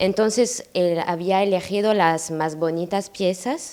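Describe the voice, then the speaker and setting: Speaking at a very slow pace, a woman with a French accent shows ordinary pitch variation. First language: French (speaking Spanish). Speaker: granddaughter of a painter's friend. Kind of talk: public talk. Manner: halting.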